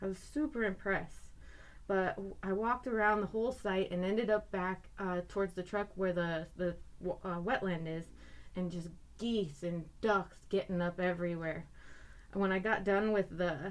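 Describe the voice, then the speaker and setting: In a plain, everyday voice, a woman with an American accent speaks at medium pitch and a moderate pace, with ordinary pitch variation. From Iowa. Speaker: wildlife biologist. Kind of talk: casual chat. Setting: recording studio.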